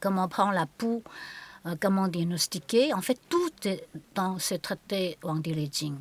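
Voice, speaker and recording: The speech comes at a very slow pace with lively intonation and a bright, sharp tone. The sound is dry and close with no echo. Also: woman. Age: 60s. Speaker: qigong and Chinese medicine teacher. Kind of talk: conversational interview. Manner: halting.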